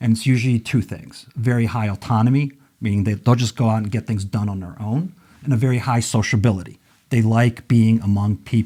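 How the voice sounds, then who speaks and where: A man's somewhat breathy, dark and mellow voice at medium pitch, fairly even in intonation and fairly quick, on a very clean recording with a silent background. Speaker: magazine publisher. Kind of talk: podcast interview.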